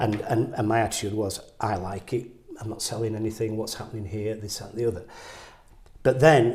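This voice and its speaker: At a moderate pace, a man speaks in a fairly low, somewhat breathy voice. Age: 60s. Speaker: painter. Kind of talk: interview conversation. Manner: halting, repetitive stammering.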